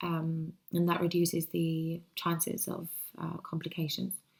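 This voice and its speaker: A woman speaks with a Spanish accent at a fairly slow pace. Her voice is somewhat breathy and fairly low in pitch. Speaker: vlogger. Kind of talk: personal video diary. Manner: hesitant, many fillers. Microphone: laptop, poor quality.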